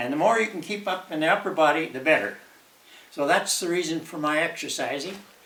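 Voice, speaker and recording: With noticeable background noise, a man talks at a fairly quick pace and ordinary pitch variation. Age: 80s+. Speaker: retired senior demonstrating home exercises. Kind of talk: casual talk to camera. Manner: hesitant, halting.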